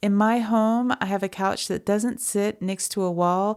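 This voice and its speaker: A soft-spoken woman talks at a fairly slow pace in a monotone, flat intonation. The recording is very clean, with a silent background. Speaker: fiber artist and crochet video maker. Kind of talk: casual vlog and tutorial. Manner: soft-spoken, mellow.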